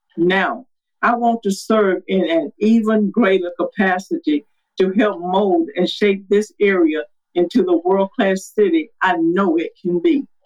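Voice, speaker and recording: Speaking with a Southern US accent, a woman keeps a fairly slow pace and very even loudness. Her pitch is medium with ordinary variation. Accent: Southern US (Georgia). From Georgia, US South. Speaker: city council candidate. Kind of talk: political candidate interview.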